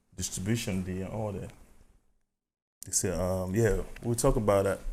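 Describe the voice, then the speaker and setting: A man with an African accent, fairly low in pitch, with fairly even intonation. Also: moderate pace. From Cameroon. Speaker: music artist. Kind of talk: podcast interview.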